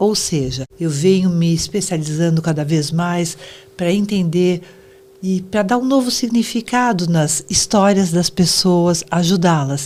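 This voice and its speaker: Against noticeable background noise, a woman with a fairly low voice talks at a fairly slow pace, her loudness very even and her pitch variation ordinary. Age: 70s. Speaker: psychoanalyst. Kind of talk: interview.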